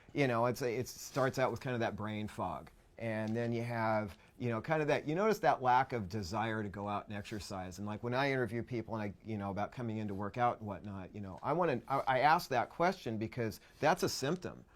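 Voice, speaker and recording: This is a plain, everyday voice. A man talks fairly quickly at medium pitch with ordinary pitch variation. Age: 50s. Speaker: health educator. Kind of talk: casual chat.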